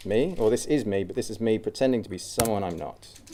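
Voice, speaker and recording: A man talks over noticeable background noise. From Australia. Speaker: cyclist and traveller giving a talk. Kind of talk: informal public talk. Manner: hesitant, many fillers.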